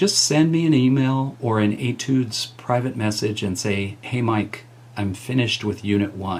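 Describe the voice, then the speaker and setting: A man speaks at a moderate pace in an unremarkable speaking voice. His pitch is medium, with ordinary variation. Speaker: college music teacher. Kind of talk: tutorial.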